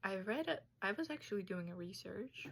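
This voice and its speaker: A woman speaks with a Tajik accent. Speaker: student. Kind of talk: class presentation.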